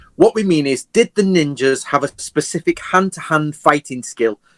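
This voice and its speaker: This man has an English accent and a fairly high pitch, talking at a moderate pace with lively intonation. The sound is dry and close, with no echo. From England. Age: 40s. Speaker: historian. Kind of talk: interview.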